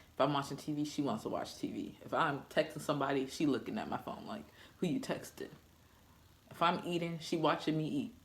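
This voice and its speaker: Audible room echo surrounds the voice. The pace is fairly quick. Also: woman, very deep, low pitch for a woman, lively intonation. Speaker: vlogger, new mother. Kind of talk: personal vlog. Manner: casual, conversational.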